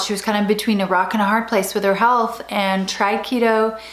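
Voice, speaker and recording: A woman speaks in a monotone, flat intonation against noticeable background noise. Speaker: YouTube host, interviewer. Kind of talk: intro talk to camera.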